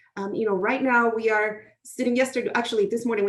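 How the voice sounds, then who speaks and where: A woman talks at a very fast pace. Her pitch sits fairly high and varies in an ordinary way. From outside the US. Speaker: professor. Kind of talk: interview.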